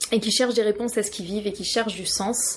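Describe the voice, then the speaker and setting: A woman speaks with monotone, flat intonation. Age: 30s. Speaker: yoga teacher. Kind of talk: interview.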